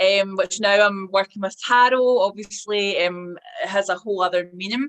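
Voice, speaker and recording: A woman with a Scottish accent, medium pitch, fairly slow pace and fairly even intonation. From Scotland. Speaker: hypnotherapist and tarot reader. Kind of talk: interview answer. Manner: hesitant, with many fillers.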